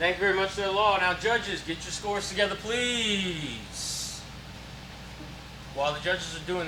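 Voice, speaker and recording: Noticeable background noise sits behind a man's voice. He talks at a fairly quick pace with a high pitch for a man. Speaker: event host. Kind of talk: live event hosting.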